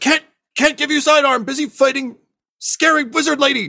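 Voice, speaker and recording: A man shouting in a put-on character voice, extremely high in pitch, at a moderate pace. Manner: yelling.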